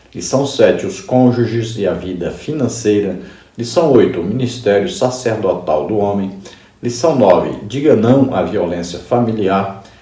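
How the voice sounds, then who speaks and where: Audible room echo surrounds this man's voice. His pitch varies in an ordinary way. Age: 60s. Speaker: pastor and Bible teacher. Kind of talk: Bible study lesson.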